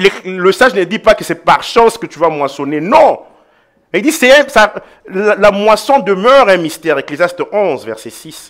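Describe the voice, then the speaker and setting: High in pitch, a man's voice swings very widely up and down. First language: an African mother tongue, not French (speaking French). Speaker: pastor. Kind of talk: sermon.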